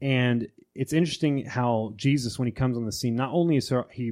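The recording is very clean with a silent background as a man speaks in a plain, everyday voice at a medium pitch and moderate pace, with ordinary pitch variation. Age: 20s. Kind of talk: casual chat about theology.

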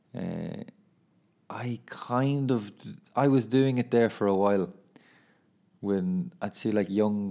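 With an Irish accent, a man talks in a dark, mellow tone with ordinary pitch variation, recorded very cleanly against a silent background. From Ireland. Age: 20s. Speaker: footballer and podcaster. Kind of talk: casual monologue. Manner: casual, laughing.

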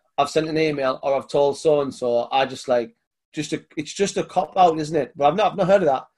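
A fairly quick, fairly high-pitched man's voice with a British accent and ordinary pitch variation. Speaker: podcast host. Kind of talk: casual interview chat.

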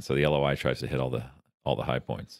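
A man with a very deep, low-pitched voice and vocal fry. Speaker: investor and podcast co-host. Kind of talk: casual conversational explanation. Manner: bantering, jokey.

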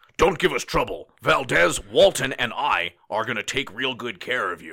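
Putting on a character voice at medium pitch, a man makes big swings in loudness and very wide pitch swings. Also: moderate pace. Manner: menacing.

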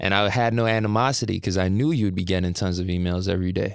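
On a very clean recording with a silent background, a man with a fairly low pitch speaks at a fairly quick pace with ordinary pitch variation, a plain, everyday voice. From Canada, Brampton, Ontario. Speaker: rapper and singer. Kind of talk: casual interview.

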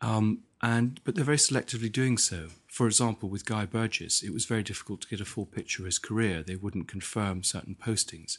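In a British accent, a man with fairly low pitch and ordinary pitch variation speaks at a very fast pace against a quiet background. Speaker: historian and author. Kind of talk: interview. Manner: halting, repeats words.

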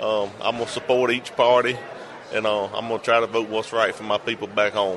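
Over noticeable background noise, a man with a Southern US accent speaks very fast in a fairly low pitch. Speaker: state legislator. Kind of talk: interview. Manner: halting, repeats words.

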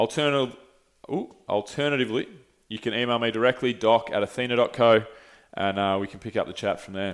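Talking at a fairly quick pace with an Australian accent, a man speaks at a medium pitch with ordinary pitch variation and big swings in loudness. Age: 30s. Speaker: podcast host. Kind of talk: sales pitch; casual chat. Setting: studio.

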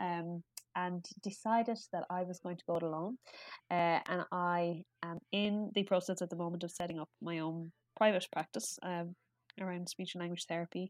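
A woman's fairly low voice with an Irish accent, at a moderate pace with fairly even intonation, in a very clean, dry, close recording with a silent background and no echo. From Ireland. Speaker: pediatric speech and language therapist. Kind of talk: casual interview chat. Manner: chatty.

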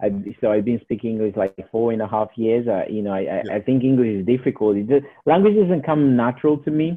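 Someone with a Portuguese accent talks at a fairly quick pace with ordinary pitch variation. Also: man, medium pitch for a man. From Portugal. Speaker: property investor. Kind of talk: interview.

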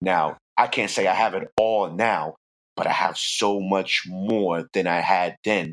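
A man with a New York accent and a very deep, low pitch speaks at a very slow pace, his intonation fairly even. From New York, the Bronx. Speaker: music producer. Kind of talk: interview.

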